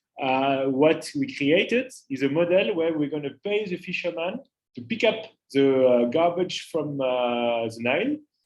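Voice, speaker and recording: With a strong French accent, a man talks at a fairly slow pace with lively intonation. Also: fairly high pitch for a man. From France, Paris. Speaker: climate entrepreneur. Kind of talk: interactive talk to students. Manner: hesitant, many filler uhs.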